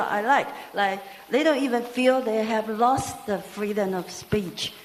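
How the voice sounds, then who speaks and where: A woman speaks with a non-native accent at a fairly high pitch, using ordinary pitch variation and a moderate pace. Audible room echo and noticeable background noise surround her. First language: not English. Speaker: audience member asking a question. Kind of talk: audience question at a talk. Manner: halting.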